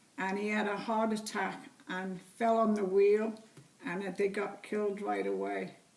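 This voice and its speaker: A woman of medium pitch speaks at a very slow pace. Audible room echo and noticeable background noise surround her. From England, Liverpool. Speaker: interviewee, great-grandmother. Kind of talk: family interview.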